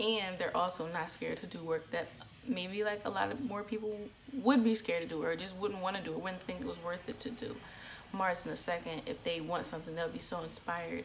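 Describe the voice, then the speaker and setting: The speech comes at a fairly quick pace with ordinary pitch variation, over noticeable background noise. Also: woman. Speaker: astrology vlogger. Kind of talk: casual vlog talk.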